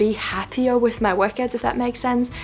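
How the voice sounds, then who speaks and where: A woman with a non-native accent at a fairly high pitch and ordinary pitch variation, with music in the background. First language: not English. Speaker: fitness and nutrition youtuber. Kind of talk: casual vlog talk to camera. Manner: hesitant, many fillers.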